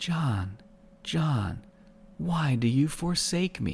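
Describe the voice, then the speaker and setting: A man's put-on character voice at a medium pitch, with very wide pitch swings and a very slow pace. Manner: gentle, reproachful.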